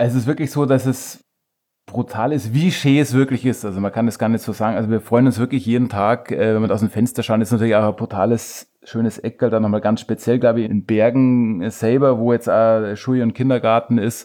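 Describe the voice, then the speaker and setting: A man's dark, mellow tone at a fairly quick pace, fairly even intonation, in a very clean recording with a silent background. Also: medium pitch for a man. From Chiemgau, Bavaria, Germany. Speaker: beard-care product maker. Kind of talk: casual interview. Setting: host's living room.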